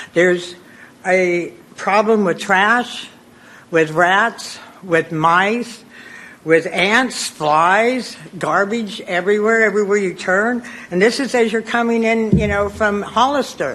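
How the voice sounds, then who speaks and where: Speaking very slowly in an American accent, a woman with a medium pitch keeps her loudness very even and her pitch variation ordinary, against noticeable background noise. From Gilroy, California. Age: 70s. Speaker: public commenter. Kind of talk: public comment.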